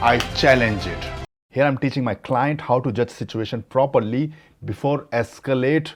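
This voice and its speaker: Over music in the background, a man with an Indian accent speaks at medium pitch and a fairly slow pace. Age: middle-aged. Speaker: dating coach. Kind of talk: coaching conversation.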